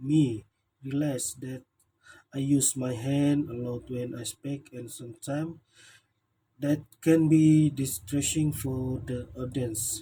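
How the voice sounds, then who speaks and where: Somewhat breathy and dark, mellow in tone, a man speaks very slowly at a fairly high pitch with fairly even intonation. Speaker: student. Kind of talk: self-evaluation speech. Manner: halting.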